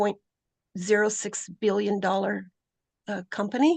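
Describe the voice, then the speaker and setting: Vocal fry runs through a woman's medium-pitched voice. The sound is dry and close with no echo, against a quiet background. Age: 70s. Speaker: public commenter. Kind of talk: public comment at hearing. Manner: halting, many fillers.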